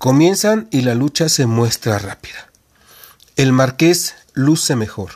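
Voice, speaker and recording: A man with lively intonation delivers his words very slowly. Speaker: podcast host reading a wrestling narrative. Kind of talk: reading aloud a wrestling match account, narrated play-by-play as if live commentary. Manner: animated, brisk blow-by-blow delivery that builds tension with short punchy phrases.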